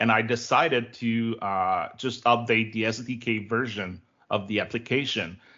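A man speaks at a medium pitch. He has a Quebec accent. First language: French. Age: 30s. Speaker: tech developer relations director. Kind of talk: interview.

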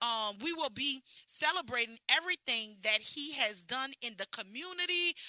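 A woman speaks in a raised, projected voice, high in pitch and bright and sharp in tone. Her delivery is animated, with lively intonation. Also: moderate pace, dry, close sound with no echo. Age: 40s. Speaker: podcast host and beauty bar owner. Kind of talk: casual chat.

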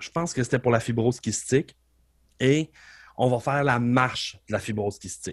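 This man has a normal speaking voice, pitched in the middle, and he keeps a moderate pace. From Quebec, Beauce region. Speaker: professional wrestler and wrestling coach. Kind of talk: casual interview conversation.

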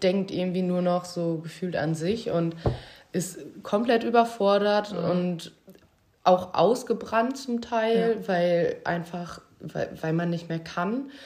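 Very slowly, a woman with a medium pitch and a somewhat breathy voice speaks with ordinary pitch variation. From Münsterland, Germany. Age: 20s. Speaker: former care worker. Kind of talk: casual chat.

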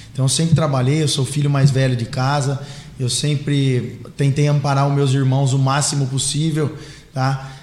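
Somewhat breathy and fairly high-pitched, a man speaks at a moderate pace in monotone, flat intonation. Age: 30s. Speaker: mayor-elect, businessman. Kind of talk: casual interview. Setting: live podcast studio.

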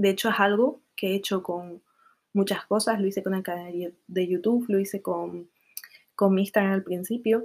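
This woman has an ordinary speaking voice with fairly even intonation. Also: medium pitch for a woman, moderate pace. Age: 20s. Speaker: podcaster. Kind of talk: casual monologue.

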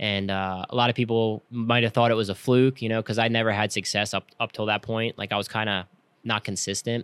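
In a very clean recording with a silent background and a dry, close sound with no echo, a man with an American accent speaks fairly quickly at a medium pitch in a monotone, flat intonation. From Pennsylvania, outside Philadelphia. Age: 30s. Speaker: professional flat track racer. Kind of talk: casual interview chat.

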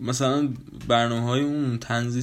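The speaker is a man. He keeps a moderate pace, with ordinary pitch variation. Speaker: podcast host. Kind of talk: casual monologue. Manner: casual; low-energy.

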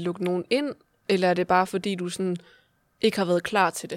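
A woman with an unremarkable speaking voice talks at a medium pitch. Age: 20s. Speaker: podcast host. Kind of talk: casual interview.

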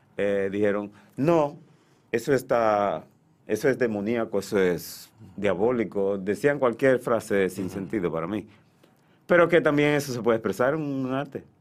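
In a very clean recording with a silent background, a man with a normal speaking voice and medium pitch talks at a moderate pace with lively intonation. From Dominican Republic, Santiago. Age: 60s. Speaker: painter and art teacher. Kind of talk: radio interview. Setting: radio studio.

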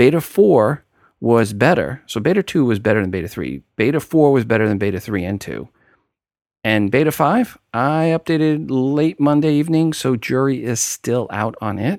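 A man with a New York accent, medium pitch and lively intonation, in a very clean recording with a silent background. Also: moderate pace. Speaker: podcast host. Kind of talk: scripted podcast monologue with news commentary.

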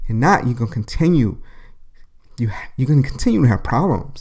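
A somewhat breathy man at a fairly quick pace, animated in tone and lively in intonation. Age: 40s. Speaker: podcast host. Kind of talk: solo monologue podcast.

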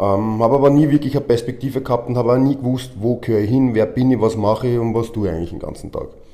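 Against noticeable background noise, a man with a medium pitch races along at a very fast pace with fairly even intonation and hardly any pauses. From Austria, Vienna. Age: 40s. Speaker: professional wrestler and gym owner. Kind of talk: interview. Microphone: microphone problem, switching mics.

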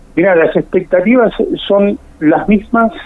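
A man speaks at a fairly slow pace with ordinary pitch variation. There is noticeable background noise. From Buenos Aires province, Argentina. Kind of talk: radio interview. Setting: phone call.

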